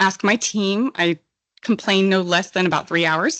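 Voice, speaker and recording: A shaky woman's voice at a moderate pace, with ordinary pitch variation and a quiet background. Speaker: petroleum engineer presenter. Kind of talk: technical presentation. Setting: conference stage with audience. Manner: shaky voice.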